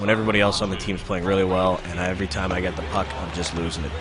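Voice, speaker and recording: An animated voice races along at a very fast pace, with audible room echo and noticeable background noise. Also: man. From Canada, Winnipeg. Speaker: video game streamer. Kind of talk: live gameplay commentary. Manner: casual, animated.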